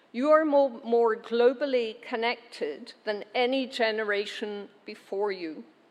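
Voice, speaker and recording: With a Glaswegian accent, a woman speaks at a fairly slow pace, her fairly high pitch showing ordinary variation. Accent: Glaswegian Scottish. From Scotland, Glasgow. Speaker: university chancellor. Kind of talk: ceremonial speech. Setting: graduation ceremony hall with audience. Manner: formal.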